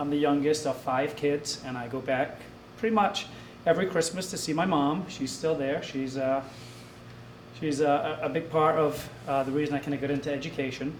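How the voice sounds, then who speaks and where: Amid noticeable background noise and audible room echo, a man with an American accent talks at a moderate pace, his fairly high pitch carrying fairly even intonation. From Scotland. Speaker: assistant principal. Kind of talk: self-introduction at public meeting.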